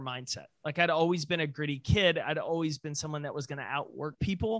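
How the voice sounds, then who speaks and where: This man has a fairly high pitch and an American accent, with ordinary pitch variation. The sound is dry and close with no echo, an ordinary speaking voice. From East Texas (Jacksonville). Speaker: company CEO and speaker. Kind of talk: interview. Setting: video call.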